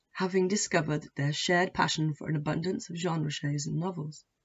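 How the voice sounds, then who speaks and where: A woman's fairly quick speech with vocal fry. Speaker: author reading her own novel. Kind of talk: audiobook-style reading of own fiction, prologue.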